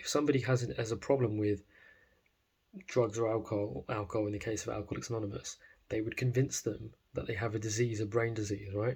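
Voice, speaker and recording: This man's voice is medium in pitch and somewhat breathy, and he talks at a very fast pace. The recording is very clean, with a silent background. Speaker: self-improvement vlogger. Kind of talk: casual monologue. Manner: animated.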